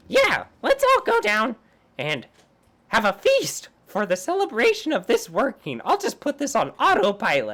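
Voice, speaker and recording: A female-sounding put-on character voice, high in pitch, at a moderate pace. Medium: actual play.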